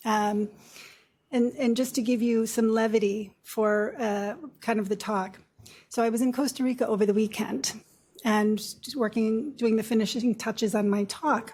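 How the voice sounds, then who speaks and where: A woman speaks at a fairly high pitch, somewhat breathy, with fairly even intonation. Her pace is moderate, and the recording is very clean with a silent background. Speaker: nurse practitioner. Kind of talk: lecture. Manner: soft-spoken.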